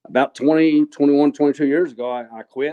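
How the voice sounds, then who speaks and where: Here a man talks at a very fast pace in a Texan accent. His pitch varies in an ordinary way. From West Texas, Abilene area. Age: 60s. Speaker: kayak fishing tournament winner, machinist. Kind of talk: casual interview chat. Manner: halting, repeats words.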